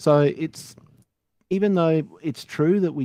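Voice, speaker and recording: A man with an Australian accent, a dark, mellow tone, ordinary pitch variation and a fairly slow pace. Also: dry, close sound with no echo. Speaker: retro computer enthusiast. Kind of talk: casual panel chat.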